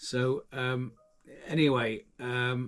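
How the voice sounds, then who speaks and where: A man is speaking. The pitch is medium. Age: 60s. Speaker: handyman. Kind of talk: vlog talk to camera. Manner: halting, many fillers.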